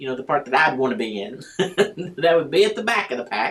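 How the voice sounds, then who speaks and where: This woman speaks in an American accent. Her pitch makes very wide swings. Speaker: preacher. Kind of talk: sermon. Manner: repetitive, halting.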